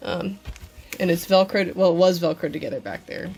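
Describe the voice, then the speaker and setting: With music playing in the background, a woman speaks very fast in a fairly low pitch. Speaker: cosplayer. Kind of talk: casual tutorial talk to camera. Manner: casual, hesitant with many fillers.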